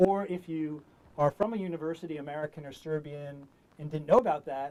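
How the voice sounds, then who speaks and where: With a dark, mellow tone, a man talks at a fairly quick pace, his pitch fairly high with ordinary variation. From US Northeast, New York City. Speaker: diplomat, public affairs officer. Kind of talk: online information session presentation. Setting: studio, online call. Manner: fast; hesitant, many filler words.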